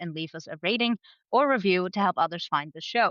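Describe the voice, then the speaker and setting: In a Dutch accent, a woman speaks with lively intonation. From Netherlands. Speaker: podcast co-host, cycling editor. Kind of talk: casual chat.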